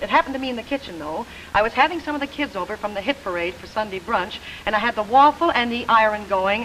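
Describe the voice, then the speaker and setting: Someone talks at a very fast pace with lively intonation against noticeable background noise. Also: woman. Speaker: singer and TV personality. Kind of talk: scripted comedic dialogue.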